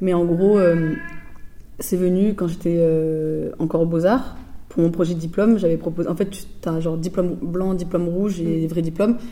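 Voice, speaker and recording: A woman speaks at a moderate pace with a fairly low pitch and fairly even intonation. Audible room echo and noticeable background noise surround her. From France, Bordeaux suburbs (Floirac, Bègles). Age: 20s. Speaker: visual artist. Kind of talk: interview. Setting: artist's studio. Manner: casual, hesitant with fillers.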